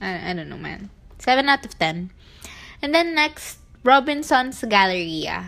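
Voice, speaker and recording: A woman speaks at a fairly slow pace in a high, bright, sharp voice with an animated tone, very wide pitch swings, big swings in loudness and long, frequent pauses. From Philippines, northern Luzon. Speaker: podcast host. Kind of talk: casual chat. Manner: animated, frequent laughter.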